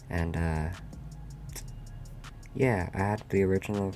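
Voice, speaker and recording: A man's very deep, low pitch at a fairly slow pace, with music in the background. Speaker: competitive Pokemon player. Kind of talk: casual gaming commentary.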